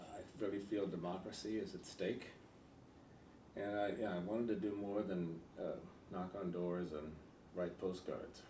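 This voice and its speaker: Someone with an American accent speaks at a moderate pace with fairly even intonation. Long, frequent pauses stand out, and room echo is audible. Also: man, fairly low pitch for a man. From California. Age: 80s+. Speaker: political candidate. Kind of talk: interview. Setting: in person interview with editorial board. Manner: halting.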